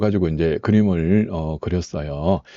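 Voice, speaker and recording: A man talking at a very slow pace. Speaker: saju fortune-telling teacher and software seller. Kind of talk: tutorial. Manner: hesitant, frequent filler sounds.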